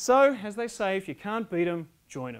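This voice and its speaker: A man talks with an Australian accent and lively intonation. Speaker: public speaking contest winner. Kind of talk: humorous contest speech. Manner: animated.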